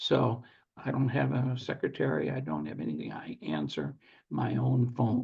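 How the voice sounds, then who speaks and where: Vocal fry marks a man's medium-pitched voice at a moderate pace. His pitch swings very widely. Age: 70s. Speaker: securities attorney and former real estate syndicator. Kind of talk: podcast interview.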